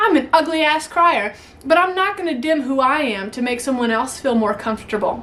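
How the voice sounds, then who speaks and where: A woman speaks at a moderate pace with high pitch and lively intonation. There is noticeable background noise. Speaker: YouTuber. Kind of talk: motivational talk to camera. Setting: home attic. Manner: animated; stutters at times.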